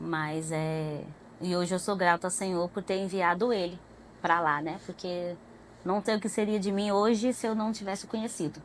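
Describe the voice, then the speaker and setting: Speaking in a plain, everyday voice, a woman talks at medium pitch and a moderate pace with fairly even intonation. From Goiânia, Goiás, Brazil. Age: 30s. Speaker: pedagogue, church member guest. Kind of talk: testimony interview.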